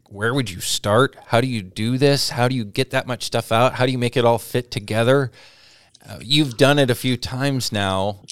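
Delivered in an unremarkable speaking voice with an American accent, the speech has fairly even intonation and a moderate pace, with a dry, close sound and no echo. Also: man, medium pitch for a man. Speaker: radio host. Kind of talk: radio interview.

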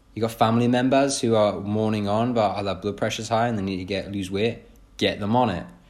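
A man with a British accent speaks at a fairly quick pace and a fairly low pitch. His intonation is fairly even, and there is audible room echo. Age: 20s. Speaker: fitness coach and podcaster. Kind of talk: solo podcast monologue. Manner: casual, with filler words.

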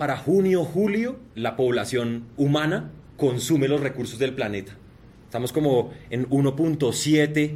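Somewhat breathy and animated in tone, the speaker moves at a fairly slow pace. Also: man. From Colombia, Bogotá. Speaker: sustainability entrepreneur. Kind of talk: keynote presentation.

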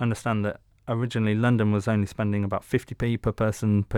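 A man with a plain, everyday voice at medium pitch, fairly quick in pace, in a dry, close sound with no echo and a very clean recording with a silent background. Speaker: podcast co-host. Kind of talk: interview.

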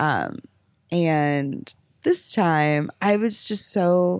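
Very clean audio from a female speaker, silent background throughout. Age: 20s. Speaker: podcast host. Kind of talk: casual chat.

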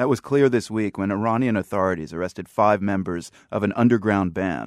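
A man talks at a fairly quick pace in a plain, everyday voice, fairly low in pitch with ordinary pitch variation, in a dry, close sound with no echo. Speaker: radio news host. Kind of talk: news radio interview. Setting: studio.

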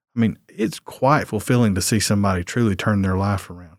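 Speaking at a fairly quick pace with a Southern US accent, a man with a fairly low pitch is captured in a dry, close sound with no echo on a very clean recording against a silent background. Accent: Southern American. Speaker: lawyer running a court diversion program. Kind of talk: casual interview.

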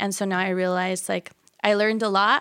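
This woman has an unremarkable speaking voice, a medium pitch and fairly even intonation, moving at a fairly quick pace on a very clean recording with a silent background. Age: 20s. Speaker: fashion business owner. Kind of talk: casual interview. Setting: studio.

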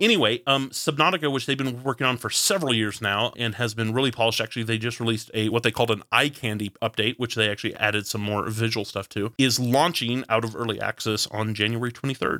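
Talking at a very fast pace, a man with an American accent has a medium-pitched voice and a bright, sharp tone. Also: ordinary pitch variation, hardly any pauses. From Texas, Fort Worth. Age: 30s. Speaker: podcast host. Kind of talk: casual chat.

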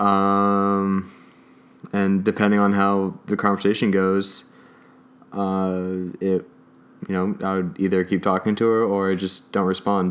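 The speaker has a Californian accent and a monotone, flat intonation. The pace is fairly slow, with long, frequent pauses. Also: man, fairly low pitch for a man. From Oxnard, California. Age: 20s. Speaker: student and sailor. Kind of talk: casual chat.

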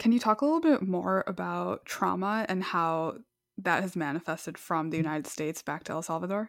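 With an unremarkable speaking voice, a woman speaks at a fairly quick pace and a fairly low pitch, with ordinary pitch variation. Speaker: podcast host. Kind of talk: interview. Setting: remote call.

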